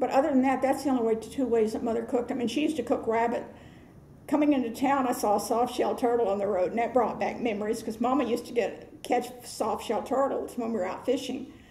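At a very fast pace, a woman with an American accent speaks at a high pitch with fairly even intonation, amid light background noise and audible room echo. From Florida, Hernando County. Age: 70s. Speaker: oral history interviewee. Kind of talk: interview answer. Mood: warm, nostalgic.

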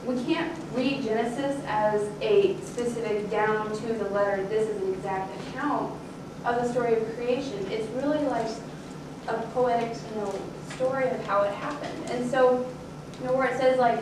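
At a moderate pace, a woman speaks with audible room echo and noticeable background noise. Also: ordinary pitch variation. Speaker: speaker. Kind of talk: sermon-like talk. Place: church.

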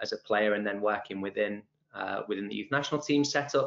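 In this clip a man talks, his pitch rising and falling in an ordinary way. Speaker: webinar host. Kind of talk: host introduction. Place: office. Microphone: video call.

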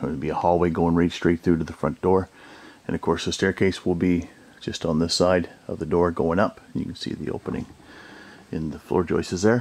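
A man speaks with a very deep, low pitch. His intonation stays fairly even. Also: moderate pace. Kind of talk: casual walkthrough narration. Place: home room. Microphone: phone near.

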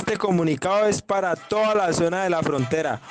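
A speaker with a Colombian accent talks at a moderate pace. Clear music plays in the background. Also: man. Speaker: claimed paramilitary commander. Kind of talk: threatening voice message. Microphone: phone near.

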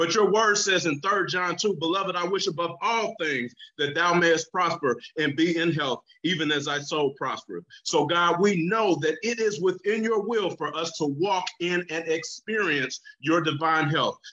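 Speaking at a moderate pace in a quiet setting, a man has a high pitch with ordinary pitch variation. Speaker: pastor. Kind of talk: fervent prayer. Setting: virtual prayer service. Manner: earnest, pleading, fervent; rhythmic, repetitive cadence with pulpit-style emphasis. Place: home room. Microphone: video call.

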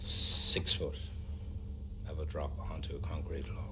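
A man's voice against noticeable background noise. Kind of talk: interview answer. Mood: earnest, telling ghost story. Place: bar.

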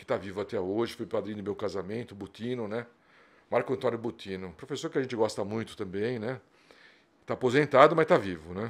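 A man rattles along at a very fast pace. His medium pitch shows ordinary variation. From São Paulo city, Zona Norte; São Paulo, Brazil. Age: 60s. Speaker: dentistry professor. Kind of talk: casual interview. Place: studio. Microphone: studio mic.

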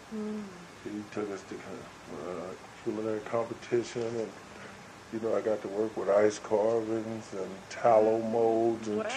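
A man's medium-pitched voice with an American accent, monotone, flat intonation, and a fairly slow pace, over noticeable background noise. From Seattle. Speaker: chef and caterer. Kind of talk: oral history interview answer. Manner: casual, conversational.

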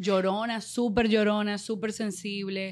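A woman speaks at a fairly slow pace. Her intonation is fairly even. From Dominican Republic. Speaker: radio and TV presenter; radio, TV presenter. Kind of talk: casual interview. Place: studio. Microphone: studio mic.

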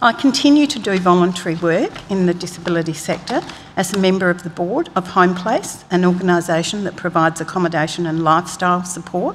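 A woman with an Australian accent speaks at a fairly quick pace in a fairly low pitch, with light background noise. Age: 60s. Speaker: public witness. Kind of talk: reading aloud a witness statement. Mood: calm, composed, formal. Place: hall. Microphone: podium.

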